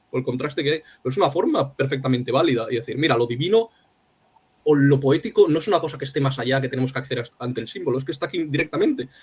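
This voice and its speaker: At a very fast rate, a man's somewhat breathy voice shows ordinary pitch variation. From Spain, Alicante. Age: young. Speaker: poet. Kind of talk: interview conversation. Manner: halting.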